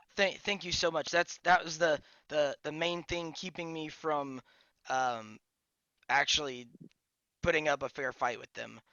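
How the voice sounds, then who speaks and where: In a put-on character voice, the speaker sounds raspy at a middle pitch, going at a fairly slow pace with long, frequent pauses. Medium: actual play. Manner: hesitant, rambling, full of "um".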